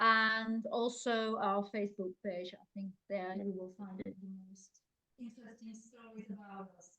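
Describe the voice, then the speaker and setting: A woman with a Dutch accent, medium pitch and a bright, sharp tone, at a fairly slow pace with monotone, flat intonation and big swings in loudness. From Netherlands. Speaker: online entrepreneur, life coach, interview guest. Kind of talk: interview.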